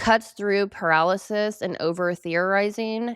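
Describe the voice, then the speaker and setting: On a very clean recording with a silent background, a woman speaks in a normal speaking voice. Her pace is fairly slow and her pitch variation ordinary. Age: 30s. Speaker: astrology and psychology video creator. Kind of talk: solo video talk reading from notes. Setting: home studio with bay door open, cold.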